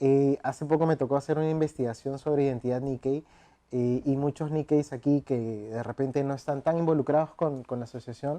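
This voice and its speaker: A man with a dark, mellow tone and fairly high pitch speaks at a fairly quick pace in a flat monotone, in a dry, close sound with no echo. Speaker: writer and researcher. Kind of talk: interview. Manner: hesitant, many fillers.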